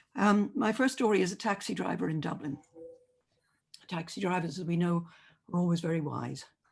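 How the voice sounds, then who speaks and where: A woman speaks at a fairly quick pace with vocal fry, a fairly low pitch, and long, frequent pauses. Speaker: journalist and commentator. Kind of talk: debate opening speech.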